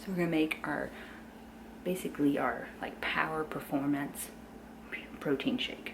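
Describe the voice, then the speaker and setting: A woman's very deep, low voice at a moderate pace with very wide pitch swings, with audible room echo and noticeable background noise. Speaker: fitness trainer and vlogger. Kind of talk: casual vlog narration. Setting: at home, early morning. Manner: whispering.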